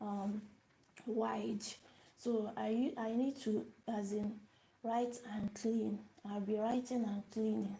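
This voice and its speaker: Breathing somewhat audibly, a woman with fairly high pitch and a dark, mellow tone speaks at a very slow pace in a flat monotone, leaving long, frequent pauses. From Nigeria. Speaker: language teacher. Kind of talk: live-stream language lesson. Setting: live video stream. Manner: repetitive, hesitant with fillers.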